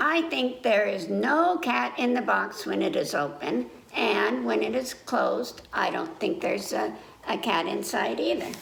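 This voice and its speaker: Through clear background noise, a woman puts on a character voice with a fairly low pitch at a moderate pace. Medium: read story.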